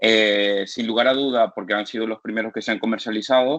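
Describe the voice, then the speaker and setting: A man speaks at a medium pitch with fairly even intonation. His pace is very fast. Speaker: physician lecturer. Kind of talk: lecture. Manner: halting.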